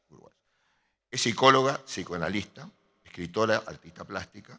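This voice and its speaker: A man's bright, sharp voice with very wide pitch swings, big swings in loudness and long, frequent pauses. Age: 80s+. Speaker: architect and artist presenting an exhibition. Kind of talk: speech at an exhibition opening. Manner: halting, with repeated fillers.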